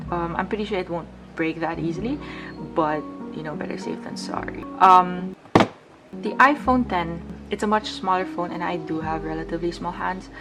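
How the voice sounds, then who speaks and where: A woman speaks with long, frequent pauses while music plays in the background. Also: moderate pace. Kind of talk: casual tech review to camera.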